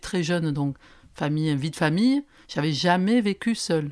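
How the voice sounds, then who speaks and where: Her ordinary pitch movement sits at a fairly low level for a woman. There is no background sound at all, and the recording is very clean. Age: 60s. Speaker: social media influencer. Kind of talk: testimony. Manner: halting.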